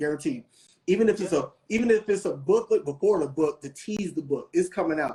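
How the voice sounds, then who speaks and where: A man speaks at a high pitch with an American accent and an animated tone. His intonation is lively. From US South, Kentucky and Atlanta. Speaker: photographer and author. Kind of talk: casual chat. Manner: fast.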